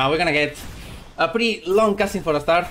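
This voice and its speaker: A man speaks with a Spanish accent. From Spain. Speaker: speedrunner. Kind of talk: live game commentary. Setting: live stream.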